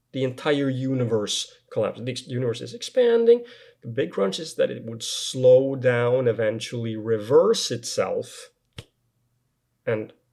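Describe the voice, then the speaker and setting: With a non-native accent, a man speaks at a fairly slow pace, his loudness swinging widely. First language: not English. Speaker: science video reviewer. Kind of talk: video critique of a paper. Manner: halting with many fillers.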